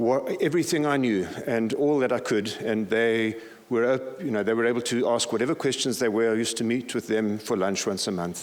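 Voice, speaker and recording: A man speaks fairly quickly at medium pitch, with hardly any pauses and very even loudness. His pitch varies ordinarily, and audible room echo surrounds him. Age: 60s. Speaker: pastor. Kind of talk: conference talk.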